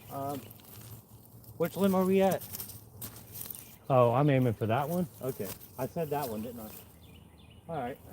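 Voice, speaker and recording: At a fairly slow pace, a man with an American accent talks with lively intonation and a fairly high pitch, leaving long, frequent pauses. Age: 40s. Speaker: tree climber, arborist. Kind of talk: casual vlog tutorial. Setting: outdoors. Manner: loud; casual, chatty.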